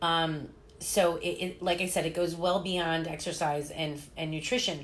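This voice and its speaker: A woman with an American accent speaks at a moderate pace in a fairly low pitch. Her intonation is monotone and flat, and audible room echo surrounds her voice. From US Midwest (Chicago and Indiana). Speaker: fitness coach and live-stream host. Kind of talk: casual live-stream interview. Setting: live at a holistic health clinic. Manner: loud.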